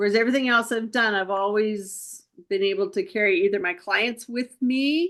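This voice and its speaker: Against a quiet background, a woman with a fairly high pitch talks at a moderate pace with ordinary pitch variation in a plain, everyday voice. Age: 60s. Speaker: wellness business owner, former accountant. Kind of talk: casual chat.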